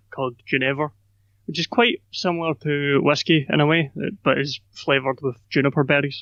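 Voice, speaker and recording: Fairly high in pitch, a man is speaking. His intonation stays fairly even. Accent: Scottish. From Scotland, Glasgow. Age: 20s. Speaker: podcaster and YouTuber. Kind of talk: casual interview conversation.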